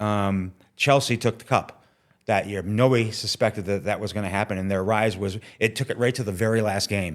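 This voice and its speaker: A man with an American accent has an unremarkable speaking voice, a fairly low pitch and fairly even intonation at a fairly quick pace. The recording is very clean, with a silent background. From upstate New York (Watertown). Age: 60s. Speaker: TV technical manager. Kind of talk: interview.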